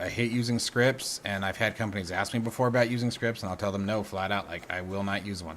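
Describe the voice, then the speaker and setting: The speaker is a man with a bright, sharp tone. His pace is fairly quick and his pitch varies in an ordinary way. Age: 40s. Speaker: gaming and flight sim streamer. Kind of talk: live stream chat while gaming. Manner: repetitive, trips over words; casual, unscripted.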